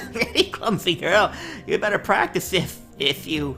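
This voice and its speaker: Over clear background music, a man uses a wheezy, put-on character voice at a moderate pace. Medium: read story. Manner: gruff, stubborn.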